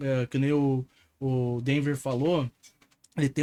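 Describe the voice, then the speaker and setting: A man talks at a moderate pace in an unremarkable speaking voice. The recording is very clean with a silent background and a dry, close sound with no echo. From interior of Paraná, Brazil. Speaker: podcast host and entrepreneur. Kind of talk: casual podcast chat.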